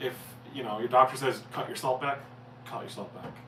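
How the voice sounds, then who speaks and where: Speaking at a fairly quick pace in a Newfoundland accent, a man is heard with noticeable background noise and audible room echo. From Newfoundland, Canada. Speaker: cooking channel host, chef. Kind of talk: casual livestream Q&A. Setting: live stream. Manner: fast.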